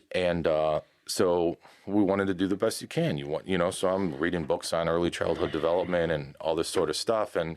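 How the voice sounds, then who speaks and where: A man's very deep, low voice at a fairly quick pace, with fairly even intonation, on a very clean recording with a silent background. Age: 50s. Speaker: podcast host. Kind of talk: casual chat. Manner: halting.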